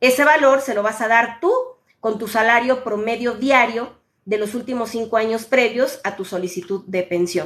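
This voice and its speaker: A woman with an unremarkable speaking voice talks at a moderate pace. Her pitch is fairly high and varies in an ordinary way. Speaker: social security advisor. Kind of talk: live Q&A stream. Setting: live stream on social media.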